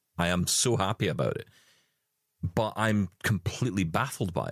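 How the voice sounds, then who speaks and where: A man with vocal fry at a moderate pace, the sound dry and close with no echo. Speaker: accessible technology show co-host. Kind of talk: casual chat.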